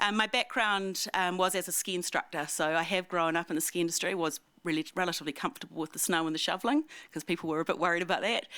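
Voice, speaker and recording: A woman with a New Zealand accent talks very fast at a fairly low pitch. Her tone is bright and sharp. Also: ordinary pitch variation. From New Zealand, Wanaka. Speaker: ski resort president and CEO. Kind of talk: public talk to community audience. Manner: casual, hesitant with many ums; loud.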